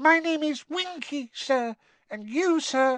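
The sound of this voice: Someone puts on a character voice at a slow pace with lively intonation. The tone is fairly bright, and the sound is dry and close with no echo.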